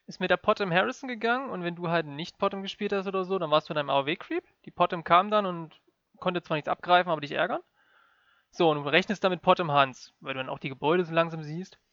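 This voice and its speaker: Talking at a very fast pace, a man uses a high pitch. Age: 20s. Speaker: esports gamer. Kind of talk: casual chat. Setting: remote call.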